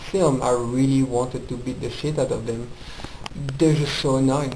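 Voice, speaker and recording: Over noticeable background noise and audible room echo, a man with a French accent speaks at medium pitch, a moderate pace and fairly even intonation. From France. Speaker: film reviewer. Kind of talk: casual film review monologue. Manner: casual, hesitant with fillers.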